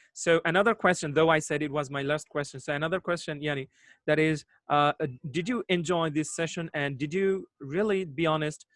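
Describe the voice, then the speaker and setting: A man speaks in a Bangladeshi accent. His pitch is fairly high and his pace fairly quick. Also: ordinary pitch variation, dry, close sound with no echo. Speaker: English teacher, online host. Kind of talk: live online discussion. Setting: video call.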